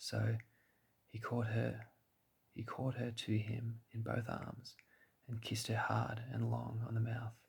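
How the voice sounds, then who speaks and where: The voice carries an Australian accent. It is soft-spoken. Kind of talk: sleep story.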